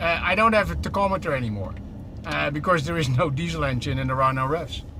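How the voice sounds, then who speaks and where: A man talks at a very fast pace. Noticeable background noise and audible room echo fill the recording. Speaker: truck company executive. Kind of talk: live product demo while driving. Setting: in a truck cab. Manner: animated.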